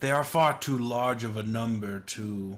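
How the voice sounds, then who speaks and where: In a put-on character voice of medium pitch, a man speaks at a moderate pace. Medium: actual play. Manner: measured, skeptical.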